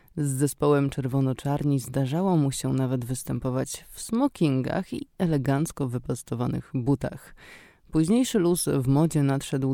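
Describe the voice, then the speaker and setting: Very deep, low pitch from a woman, with a dark, mellow tone, ordinary pitch variation and a fairly slow pace, in a very clean recording with a silent background. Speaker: radio host. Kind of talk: radio show presentation. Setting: radio studio.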